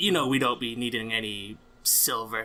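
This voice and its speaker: A man puts on a raspy character voice at a medium pitch with fairly even intonation. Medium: actual play. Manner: gruff, oddly phrased.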